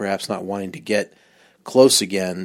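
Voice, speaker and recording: A man with an American accent and an unremarkable speaking voice, fairly low in pitch, at a moderate pace in a very clean recording with a silent background. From US West Coast, Long Beach, California. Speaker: podcast listener. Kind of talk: recorded voice message.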